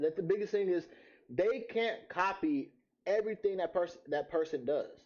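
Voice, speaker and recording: In an animated tone, a man talks at a fairly quick pace with very wide pitch swings. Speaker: streamer reacting to videos. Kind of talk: reaction commentary. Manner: fast, sometimes slurred.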